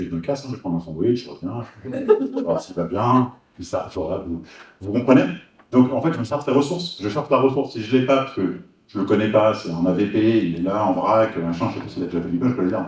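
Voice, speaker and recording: At a fairly quick pace, a somewhat breathy man of medium pitch talks with lively intonation and big swings in loudness. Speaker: hypnosis trainer. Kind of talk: workshop presentation. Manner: fast, many repetitions and fillers.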